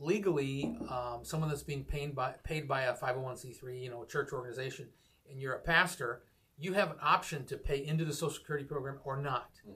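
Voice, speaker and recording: A man with a plain, everyday voice, fairly high in pitch, fairly even in intonation and at a fairly quick pace. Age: 50s. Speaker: podcast host. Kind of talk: casual chat.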